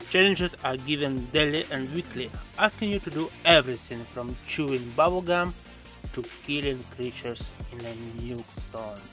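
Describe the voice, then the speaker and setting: Clear music plays in the background as a man speaks at a moderate pace with a fairly high pitch. His intonation is lively, with big swings in loudness. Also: dry sound with no echo. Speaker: gaming YouTuber. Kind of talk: game commentary voice-over. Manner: sarcastic, joking. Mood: wry, sarcastic. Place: home room. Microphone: studio mic.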